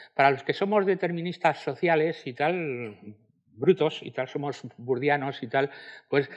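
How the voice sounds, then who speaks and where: Over a quiet background, a man with fairly high pitch and ordinary pitch variation speaks at a moderate pace. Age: 60s. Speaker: sociology professor; speaker. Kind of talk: panel discussion. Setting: stage with audience. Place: hall.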